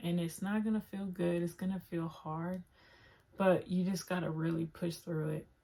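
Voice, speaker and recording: A woman's fairly low, dark and mellow voice, somewhat breathy, with fairly even intonation. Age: 20s. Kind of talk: casual talk to camera. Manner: casual, filler-heavy.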